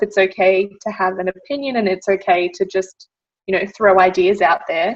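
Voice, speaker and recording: A woman speaks with an Australian accent. Her pitch varies in an ordinary way. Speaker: medical engineer. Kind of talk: interview. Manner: loud.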